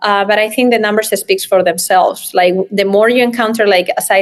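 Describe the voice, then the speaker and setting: A woman speaks with a strong Spanish accent. Her pace is fairly quick. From Spain. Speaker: real estate developer. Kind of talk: interview.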